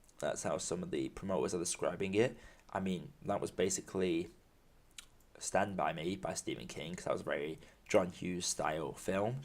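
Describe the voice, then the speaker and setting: At a moderate pace, a man speaks in a British accent. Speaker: film podcaster. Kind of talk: solo podcast monologue. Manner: halting.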